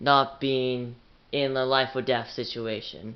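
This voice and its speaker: A man speaks quietly at a fairly slow pace. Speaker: YouTuber. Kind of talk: casual vlog talk to camera.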